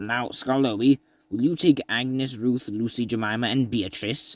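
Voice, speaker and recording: A put-on character voice at a moderate pace with fairly even intonation. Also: man, medium pitch for a man. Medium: read story. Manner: grave.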